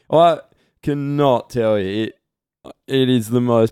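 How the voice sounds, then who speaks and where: This is a man with a normal speaking voice. His pitch is medium, with ordinary variation. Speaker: podcast host. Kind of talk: casual banter podcast.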